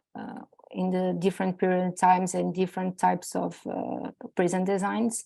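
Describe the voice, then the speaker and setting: A woman with a non-native accent, at a fairly slow pace against a quiet background. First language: not English. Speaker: PhD researcher. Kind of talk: conference presentation. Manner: halting.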